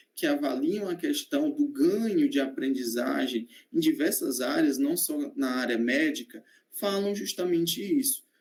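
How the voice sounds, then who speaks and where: Pitched high for a man, he speaks at a fairly slow pace with very wide pitch swings. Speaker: medical student. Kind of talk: online presentation. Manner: hesitant, many fillers.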